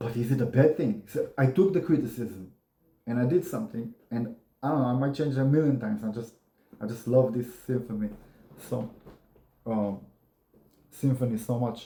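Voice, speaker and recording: Somewhat breathy, a man speaks in a dark, mellow tone broken by long, frequent pauses. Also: medium pitch for a man, moderate pace. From Israel. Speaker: YouTuber. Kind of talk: casual monologue. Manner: monotone.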